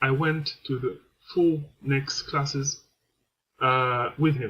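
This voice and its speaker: Speaking very slowly with a French accent, a man uses a fairly high pitch, a bright, sharp tone and fairly even intonation. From France. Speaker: vlogger. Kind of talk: personal testimony. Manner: halting, many hesitations.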